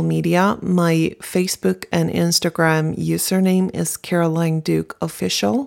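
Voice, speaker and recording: With a Swedish accent, a woman talks at a fairly slow pace in a fairly low pitch. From Sweden, Stockholm. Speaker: singer-songwriter. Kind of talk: interview.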